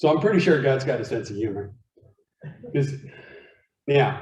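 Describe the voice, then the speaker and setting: A somewhat breathy man's voice, fairly high in pitch, with an American accent and audible room echo. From Arizona. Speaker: guest speaker. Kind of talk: talk to a men's group. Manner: animated.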